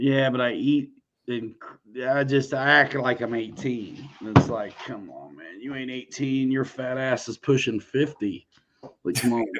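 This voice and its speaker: A man talks in an unremarkable speaking voice with fairly even intonation. His loudness swings widely. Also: medium pitch for a man, fairly slow pace. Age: 40s. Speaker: RC aircraft YouTuber and livestream host. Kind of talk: casual livestream chat.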